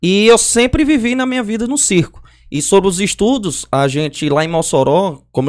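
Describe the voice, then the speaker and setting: On a very clean recording with a silent background, a man speaks in an animated tone with very wide pitch swings. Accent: northeastern Brazilian. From Brazil, Northeast. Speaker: circus clown and comedian. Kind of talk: casual chat.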